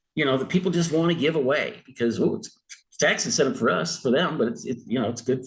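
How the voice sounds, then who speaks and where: A somewhat breathy man's voice at a fairly quick pace, with lively intonation. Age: 60s. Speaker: retired sports editor. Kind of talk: interview. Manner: hesitant, many fillers and restarts.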